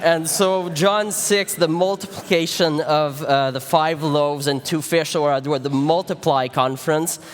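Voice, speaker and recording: A man with a Quebec accent and a fairly high pitch speaks at a fairly slow pace with hardly any pauses and ordinary pitch variation, over noticeable background noise. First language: French. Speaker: pastor. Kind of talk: sermon. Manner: halting, many fillers.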